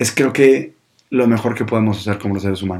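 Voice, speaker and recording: A man speaks with a northern Mexican accent at medium pitch and a moderate pace. His tone is dark and mellow, with ordinary pitch variation. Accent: northern Mexican (Monterrey) Spanish. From Mexico, Monterrey (north). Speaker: podcast host, communicator, former radio presenter. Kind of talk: casual solo monologue.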